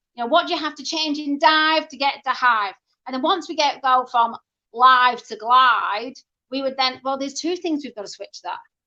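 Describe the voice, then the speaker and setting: A woman speaks in a raised, projected voice with a bright, sharp tone and big swings in loudness. Her pitch is high with ordinary variation, and her pace is moderate. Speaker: reading teacher. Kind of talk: interview about teaching methods.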